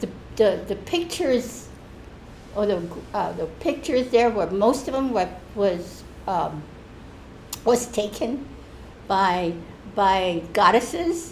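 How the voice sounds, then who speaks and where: A woman's fairly high voice at a very slow pace, with very wide pitch swings, long, frequent pauses and audible room echo. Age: 70s. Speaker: church member. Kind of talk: testimony. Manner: halting, with many restarts.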